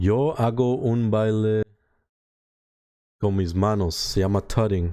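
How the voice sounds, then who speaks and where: With a dark, mellow tone and a fairly low pitch, a man speaks at a fairly slow pace with long, frequent pauses, ordinary pitch variation and very even loudness, on a very clean recording with a silent background. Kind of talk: casual Spanish chat on stream.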